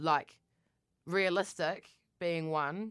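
A woman speaks with a New Zealand accent. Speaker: podcast co-host. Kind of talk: casual chat. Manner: loud.

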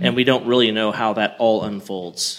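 A man in an ordinary speaking voice keeps a moderate pace, his pitch varying in an ordinary way. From Oklahoma. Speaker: podcast co-host. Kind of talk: podcast interview.

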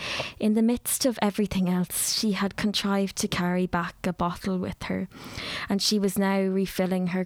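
The speaker reads a text aloud. It is done in a natural voice.

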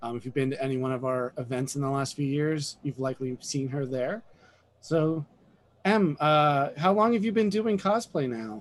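A man has an unremarkable speaking voice, pitched fairly high. He talks at a moderate pace with lively intonation. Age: middle-aged. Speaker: comic and game store owner, podcast host. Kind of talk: casual chat.

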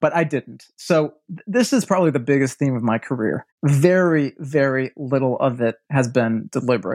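In a normal speaking voice, the speaker keeps a moderate pace with hardly any pauses and ordinary pitch variation, in a dry, close sound with no echo. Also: man, fairly high pitch for a man. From US Midwest, Milwaukee, Wisconsin. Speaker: architecture writer and design strategist. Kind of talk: casual interview.

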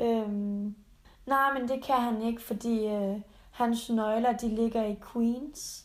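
At a very slow pace, a woman talks in a fairly high pitch with monotone, flat intonation. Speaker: podcast co-host. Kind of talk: casual chat; recorded mock phone call.

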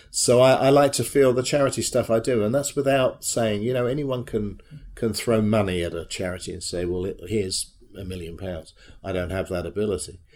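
The recording is very clean, with a silent background. A man with a British accent and a fairly low pitch talks at a fairly quick pace. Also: ordinary pitch variation. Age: 60s. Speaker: charity treasurer and former theatrical agent. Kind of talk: interview.

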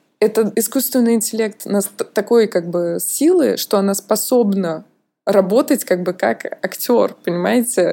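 Her pitch is fairly high and varies in an ordinary way. The woman talks at a fairly slow pace. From Russia. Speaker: museum mediator, podcast co-host. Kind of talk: casual chat. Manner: animated.

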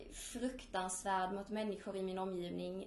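A woman speaks at a medium pitch and a fairly slow pace. Audible room echo surrounds her voice. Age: 20s. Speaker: student and eating disorder survivor. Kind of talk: personal testimony.

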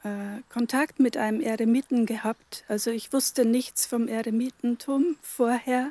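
The voice has a dark, mellow tone and fairly even intonation, recorded with a dry, close sound and no echo. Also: woman. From Germany, Upper Palatinate (Bavaria). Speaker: hermit nun. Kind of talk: interview. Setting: at a pilgrimage church site.

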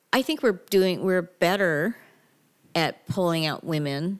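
Speaking at a fairly slow pace, a woman has an unremarkable speaking voice. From Canada, Toronto area (Mississauga). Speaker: cannabis business consultant. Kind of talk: casual interview.

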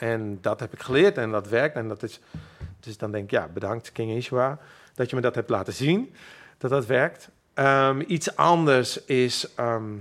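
Someone with a Friesland accent talks at a fairly slow pace, using ordinary pitch variation. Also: man, medium pitch for a man. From Friesland, Makkum. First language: Frisian (speaking Dutch). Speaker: musician. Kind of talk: interview. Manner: halting.

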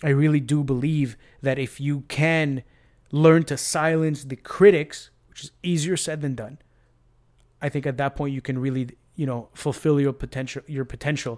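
A normal speaking voice from a man, fairly high in pitch, with fairly even intonation, a moderate pace, big swings in loudness, and a very clean recording over a silent background. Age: 30s. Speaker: MMA podcast host. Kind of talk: casual chat. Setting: at home.

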